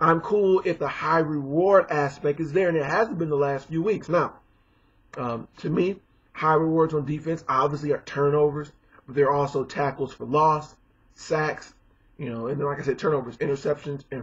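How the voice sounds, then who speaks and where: A man talks at a moderate pace in a somewhat breathy, fairly high voice with ordinary pitch variation. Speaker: sports commentator. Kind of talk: casual talk to camera.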